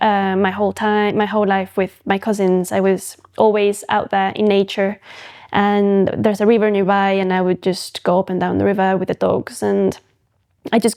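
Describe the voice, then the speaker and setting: Speech comes at a medium rate. Its intonation stays flat and monotone. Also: woman. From Mexico, Veracruz (rural area near Jalapa). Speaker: photographic artist. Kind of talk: podcast interview. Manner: halting, many fillers and restarts.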